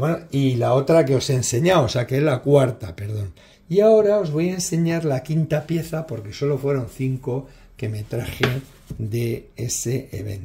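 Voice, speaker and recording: A man with a medium pitch and a dark, mellow tone talks at a moderate pace with lively intonation. His voice is somewhat breathy, and there is noticeable background noise. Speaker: knife collector reviewer. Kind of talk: casual product showcase. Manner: halting, with many fillers. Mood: calm, frank.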